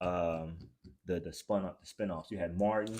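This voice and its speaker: A man's very deep, low voice with a dark, mellow tone, fairly even intonation and a moderate pace. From US. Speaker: podcast host. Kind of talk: casual chat.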